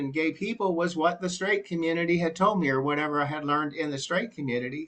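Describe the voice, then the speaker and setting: Here is a man with a normal speaking voice and an American accent. His pitch sits fairly high with ordinary pitch variation. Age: 60s. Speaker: church group participant. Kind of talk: group discussion testimony.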